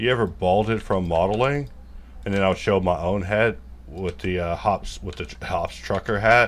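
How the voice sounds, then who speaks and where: With an American accent and lively intonation, the talking moves at a moderate pace. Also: man, very deep, low pitch for a man. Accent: country, people correct it. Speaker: 3D modelling tutor. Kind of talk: live modelling tutorial, casual. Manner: casual, rambling asides.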